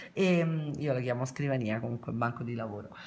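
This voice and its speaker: This woman's pitch varies in an ordinary way. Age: 50s. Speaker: nail beauty vlogger. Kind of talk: product review vlog. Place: home room. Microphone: phone near.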